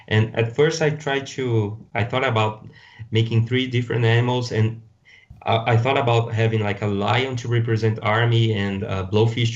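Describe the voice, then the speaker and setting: This man's voice is somewhat breathy. His intonation is fairly even. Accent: Brazilian. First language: Portuguese. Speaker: toy designer and customizer. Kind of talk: podcast interview. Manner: halting.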